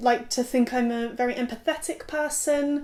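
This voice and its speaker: A woman's high voice with an English accent. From southwest England, rural. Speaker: content creator. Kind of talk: casual vlog monologue.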